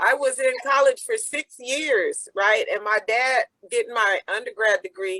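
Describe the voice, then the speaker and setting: A woman with an American accent speaks in a raised, projected voice at a fairly slow pace, high-pitched with very wide pitch swings. Her tone is bright and sharp, the sound dry and close with no echo. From US. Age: 60s. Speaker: peace activist. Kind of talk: interview. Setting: video call.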